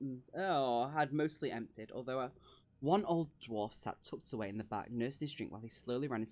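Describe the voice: The voice uses plain reading aloud. Pitch variation is ordinary.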